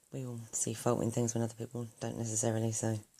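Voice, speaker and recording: Noticeable background noise sits behind a woman whose voice is pitched very deep and low. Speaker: craft video maker. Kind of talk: tutorial. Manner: hesitant.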